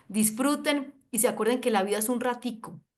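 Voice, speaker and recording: In an animated tone, a woman speaks at a fairly high pitch and a moderate pace with ordinary pitch variation. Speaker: doctor and wellness network marketer. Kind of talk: video call panel talk, promotional. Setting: video call.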